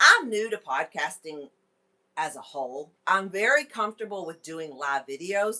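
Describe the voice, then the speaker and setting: Her tone is bright, sharp and animated. The woman speaks at a moderate pace in a medium pitch. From Kentucky. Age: 40s. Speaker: wellness podcast host. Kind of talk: casual live stream chat. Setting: live stream with headset microphone.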